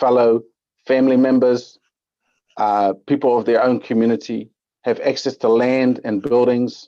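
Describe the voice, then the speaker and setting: Flat and monotone, a man talks at a medium pitch. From Netherlands. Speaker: public submitter. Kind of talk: public hearing submission. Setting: video call. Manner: hesitant, many fillers.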